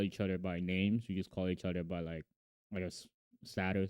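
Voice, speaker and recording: Very fast and very deep, a man's low voice comes across with a dark, mellow tone and a dry, close sound with no echo. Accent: slight Korean. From Korean heritage. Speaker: podcast co-host. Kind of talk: casual chat. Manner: sometimes hard to understand.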